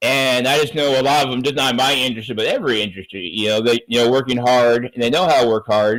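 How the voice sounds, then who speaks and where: Very fast and nearly pause-free, a man rattles through his words. His loudness stays very even. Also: medium pitch for a man, ordinary pitch variation. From Southern California. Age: 50s. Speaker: chef turned digital marketer. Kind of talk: casual interview chat.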